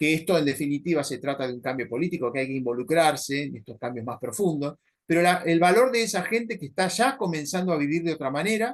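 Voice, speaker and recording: Speaking very fast, a man keeps his intonation lively. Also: hardly any pauses. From Argentina, Buenos Aires province (Adrogué). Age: 60s. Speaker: paleontologist and environmental activist. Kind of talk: interview conversation. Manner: hesitant, many fillers and repetitions.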